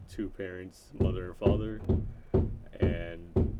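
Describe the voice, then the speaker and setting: A man with an American accent speaks at a fairly slow pace, his very deep, low voice dark and mellow in tone. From Florida, US South. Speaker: YouTuber. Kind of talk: casual vlog introduction. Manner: rambling, many fillers.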